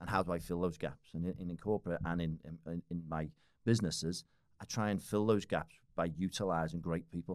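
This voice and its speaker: A man with a Liverpool accent talks at a fairly quick pace with fairly even intonation. His pitch is very deep and low, and the recording is very clean with a silent background. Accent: Scouse (Liverpool). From Liverpool, northern England. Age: 40s. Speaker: business owner and fitness enthusiast. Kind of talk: casual chat. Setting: studio.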